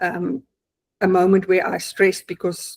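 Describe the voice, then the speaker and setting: Speaking at a fairly slow pace with a South African accent, a woman holds a medium pitch and fairly even intonation in a dry, close sound with no echo. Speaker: client giving testimonial, accountant. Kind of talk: testimony. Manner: hesitant, many fillers.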